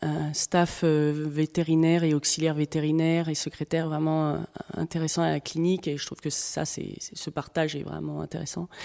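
In a very clean recording with a silent background, a woman with a very deep, low pitch and a dark, mellow tone speaks at a moderate pace in a monotone, flat intonation. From Paris region, France. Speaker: equine veterinarian. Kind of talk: interview. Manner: halting, with fillers and repetitions.

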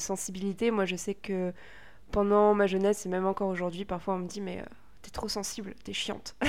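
A woman's medium-pitched voice at a moderate pace, flat and monotone in intonation. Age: 20s. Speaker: podcast co-host. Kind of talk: casual chat. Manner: hesitant.

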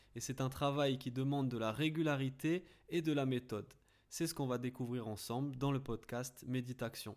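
A man talks at a moderate pace and medium pitch with fairly even intonation and an ordinary speaking voice. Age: 20s. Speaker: podcast host and mental coach for athletes. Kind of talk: scripted podcast introduction.

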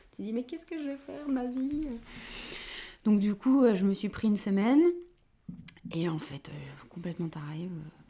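A woman's fairly high voice with very wide pitch swings, a moderate pace, and long, frequent pauses. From northern France, Dunkirk. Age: 30s. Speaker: shop owner and architect. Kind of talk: interview. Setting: in her shop.

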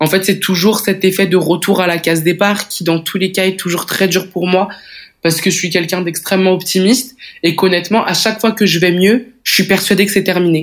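Her medium-pitched voice flat and monotone, a woman speaks at a fairly quick pace. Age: 20s. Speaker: woman living with endometriosis. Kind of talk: personal testimony.

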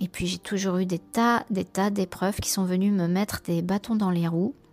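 This is a woman talking at a medium pitch. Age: 50s. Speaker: program participant. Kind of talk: testimony. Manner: halting.

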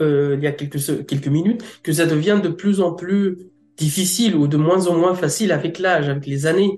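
This is a man with a high-pitched voice. His pitch moves normally. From Egypt. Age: 30s. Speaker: translator-interpreter. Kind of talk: interview testimony. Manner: halting.

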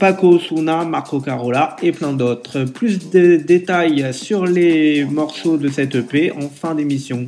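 The pace of this man's speech is very slow, with ordinary pitch variation. Noticeable background noise can be heard. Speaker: radio DJ. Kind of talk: radio DJ patter, scripted show intro. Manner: upbeat, brisk, promotional.

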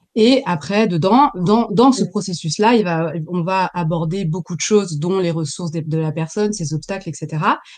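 This woman has a plain, everyday voice, pitched fairly low. Her pitch varies in an ordinary way, and she keeps a moderate pace. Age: 40s. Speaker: professional coach. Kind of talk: interview.

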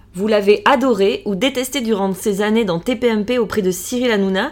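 A woman with a plain, everyday voice, medium in pitch with ordinary pitch variation, at a fairly quick pace. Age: 40s. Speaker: podcast host. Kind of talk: scripted introduction.

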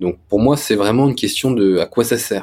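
A man with an ordinary speaking voice and ordinary pitch variation is heard in a very clean recording with a silent background. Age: 20s. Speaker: tech startup founder. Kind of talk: interview.

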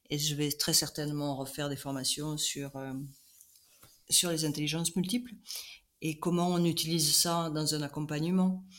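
A woman speaks at a moderate pace with a very deep, low pitch and fairly even intonation, taking long, frequent pauses. The recording is very clean, with a silent background. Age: 60s. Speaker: coach. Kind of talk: interview.

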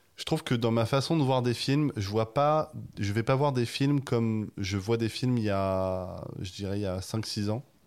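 A man's normal speaking voice at medium pitch with ordinary pitch variation, on a very clean recording with a silent background. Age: 20s. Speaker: video essayist. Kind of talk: casual chat.

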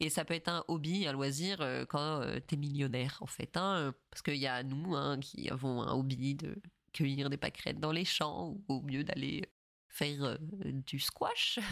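A woman's very deep, low, nasal voice at a fairly slow pace, with ordinary pitch variation. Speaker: parenting podcast host. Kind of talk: casual commentary podcast. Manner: nasal-sounding.

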